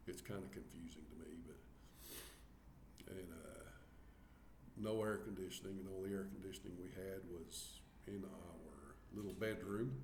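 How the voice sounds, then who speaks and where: A man with a very deep, low voice and vocal fry speaks in a Southern US accent at a moderate pace with ordinary pitch variation. Long, frequent pauses break up his speech, and the room echo is audible. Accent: Southern US country. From US South, Arkansas. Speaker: vlogger. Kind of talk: casual chat. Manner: halting, many fillers.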